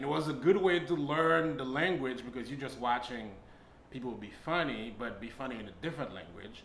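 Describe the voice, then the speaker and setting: Amid noticeable background noise and audible room echo, a man with a strong Haitian accent talks at a fairly quick pace in a medium pitch, with lively intonation and big swings in loudness. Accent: thick Haitian. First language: Haitian Creole and French. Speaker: stand-up comedian. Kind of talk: casual interview.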